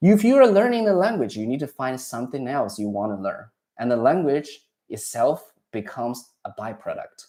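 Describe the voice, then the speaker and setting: A man's dark, mellow tone with a Chinese accent, very wide pitch swings, and a fairly quick pace. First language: Mandarin Chinese. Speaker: Chinese language teacher. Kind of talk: casual advice chat. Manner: halting, with restarts.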